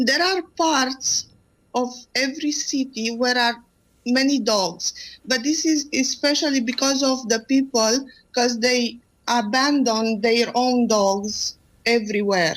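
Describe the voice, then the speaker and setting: On a very clean recording with a silent background, a woman with a Romanian accent talks at a very slow pace in a high pitch with ordinary pitch variation. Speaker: animal rescue volunteer. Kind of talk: radio interview. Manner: halting.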